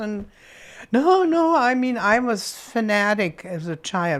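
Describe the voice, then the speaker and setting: The speaker has a German accent. She is a woman. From Berlin, Germany. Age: 80s+. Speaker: World War II survivor. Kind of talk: interview answer. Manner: energetic.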